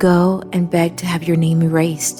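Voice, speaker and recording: A woman takes a fairly slow pace while music plays behind her. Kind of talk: scripture reading. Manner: clear, contemporary delivery.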